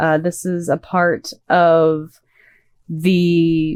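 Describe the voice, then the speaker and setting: Against a quiet background, a soft-spoken woman talks at a fairly low pitch. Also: dry, close sound with no echo. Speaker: vtuber streamer. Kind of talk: casual gaming stream.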